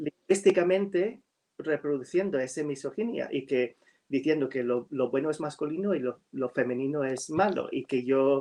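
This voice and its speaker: Fairly high-pitched with a dark, mellow tone, a man with an American accent talks at a moderate pace with ordinary pitch variation. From US Northeast (New York). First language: English (speaking Spanish). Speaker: writer. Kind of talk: virtual literary talk. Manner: halting with many fillers.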